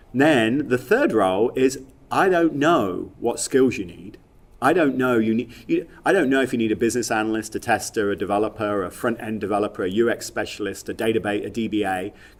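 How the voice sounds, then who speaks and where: A man of medium pitch at a fairly quick pace. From England, Leicester. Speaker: software industry executive. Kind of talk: podcast interview. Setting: at a conference. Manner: halting, many repetitions and fillers.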